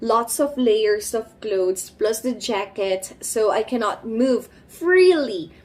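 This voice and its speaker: Against noticeable background noise, a woman with a fairly high voice speaks very slowly, her intonation lively. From Philippines. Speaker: vlogger. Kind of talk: casual vlog talk.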